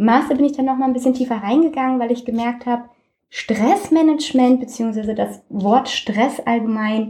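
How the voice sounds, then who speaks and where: Her fairly high voice has a dark, mellow tone, ordinary pitch variation and a moderate pace. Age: 20s. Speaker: health coach. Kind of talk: interview.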